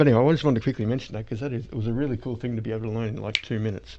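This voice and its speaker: A man mumbles through a put-on character voice at a very fast pace, with a medium pitch and fairly even intonation. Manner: mumbling.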